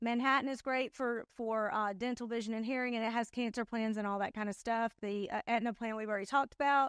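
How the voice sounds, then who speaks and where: A woman's fairly high voice at a very fast pace, with hardly any pauses and fairly even intonation, in a dry, close recording with no echo and a silent, very clean background. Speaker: insurance sales trainer. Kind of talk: conference talk.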